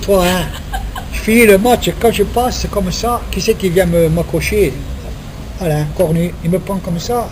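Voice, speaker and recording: A man talks at a high pitch while noticeable background noise carries on behind him. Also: ordinary pitch variation, fairly slow pace. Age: 70s. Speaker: retired footballer. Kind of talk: casual chat. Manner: animated.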